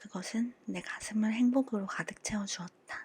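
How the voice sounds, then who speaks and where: The voice has a calm tone, somewhat breathy, moving at a fairly slow pace with fairly even intonation. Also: woman. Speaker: audiobook reader. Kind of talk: audiobook reading for sleep. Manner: calm, soft-spoken.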